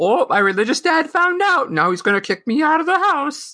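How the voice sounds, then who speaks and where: This put-on character voice is high-pitched and moves at a fairly quick pace. Its pitch swings very widely. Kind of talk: casual, exaggerated. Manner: dopey, mocking.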